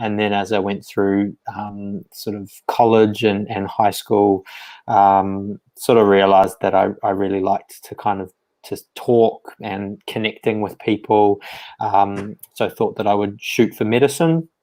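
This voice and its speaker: Speaking in a New Zealand accent, a man has a dark, mellow tone and a fairly low pitch. His pace is fairly slow and his intonation fairly even. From rural New Zealand. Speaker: psychiatrist. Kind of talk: interview. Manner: hesitant, many fillers.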